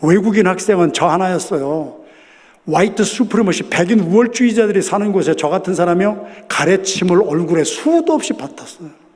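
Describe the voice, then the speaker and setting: A man talks at a fairly quick pace with a high pitch and lively intonation, with noticeable background noise and audible room echo. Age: 60s. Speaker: pastor. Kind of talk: sermon. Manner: loud.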